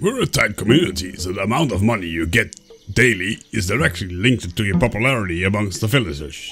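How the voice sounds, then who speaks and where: Over faint music in the background, a man does a put-on character voice at a very fast pace and a fairly low pitch. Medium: role play.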